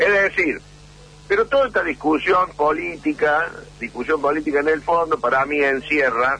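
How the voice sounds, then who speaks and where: Noticeable background noise behind a man speaking at a moderate speed. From Argentina, Córdoba. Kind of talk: radio interview.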